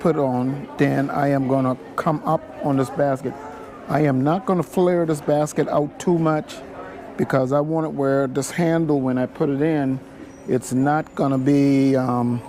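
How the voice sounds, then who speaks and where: This man talks at a fairly slow pace with fairly even intonation and very even loudness. Noticeable background noise sits behind him. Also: fairly high pitch for a man. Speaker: basket weaver. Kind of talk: tutorial. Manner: mumbling.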